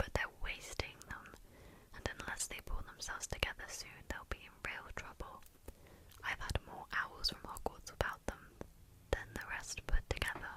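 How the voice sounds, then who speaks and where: A woman's whispering with big swings in loudness, over noticeable background noise. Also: moderate pace. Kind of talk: audiobook-style narration of a fantasy novel. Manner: soft-spoken, relaxing.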